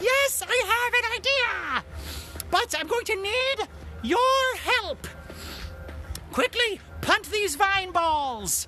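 A man talks in a put-on character voice at a very slow pace, with long, frequent pauses. Background noise is clearly audible. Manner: urgent, determined.

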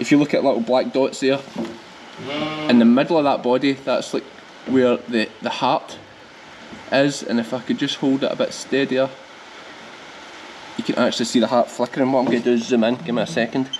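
With a strong Scottish accent, a man talks at a fairly quick pace but with long, frequent pauses. His medium-pitched voice is monotone and flat, over light background noise. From Scotland, Ayrshire; Scotland. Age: 30s. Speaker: sheep farmer and vlogger. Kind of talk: farm vlog tutorial. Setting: on the farm, scanning sheep. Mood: relaxed, friendly, instructive. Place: farm machine.

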